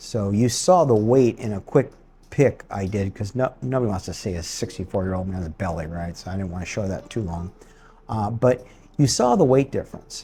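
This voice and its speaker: A man speaks at a moderate pace in a somewhat breathy, fairly low voice with a dark, mellow tone, ordinary pitch variation and big swings in loudness. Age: 60s. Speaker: retired expat vlogger. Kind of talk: casual vlog update. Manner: hesitant, many fillers.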